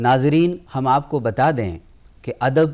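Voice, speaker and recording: Pitched fairly high, a man speaks in an unremarkable speaking voice. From Punjab, India (Amritsar). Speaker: TV talk show host. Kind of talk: literary TV interview. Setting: studio. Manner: formal.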